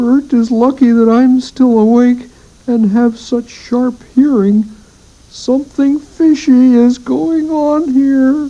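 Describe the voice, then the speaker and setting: Using a put-on character voice, a woman speaks at a high pitch. Her pace is fairly slow. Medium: read story. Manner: excitable, jumpy.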